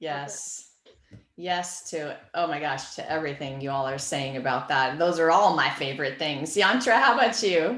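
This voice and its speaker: Very deep, low female speech carrying audible echo from the room. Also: lively intonation, moderate pace. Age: 50s. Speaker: author. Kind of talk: casual chat.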